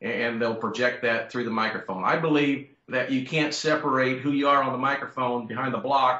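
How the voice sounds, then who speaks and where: His is a normal speaking voice, pitched in the medium range for a man. The pitch rises and falls with ordinary variation. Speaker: champion auctioneer and convention speaker. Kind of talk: interview answer about presentations.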